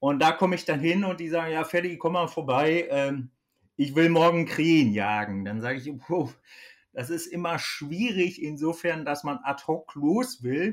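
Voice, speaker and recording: This man has a plain, everyday voice, fairly high in pitch. He speaks at a fairly slow pace with lively intonation. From Germany, Ostwestfalen (Kreis Höxter). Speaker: hunting expert, company manager. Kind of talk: casual expert interview.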